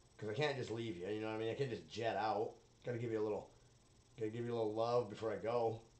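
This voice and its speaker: A man speaks at a very fast pace, his medium pitch carrying fairly even intonation. Noticeable background noise sits behind him. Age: 30s. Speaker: solo podcaster. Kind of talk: casual monologue.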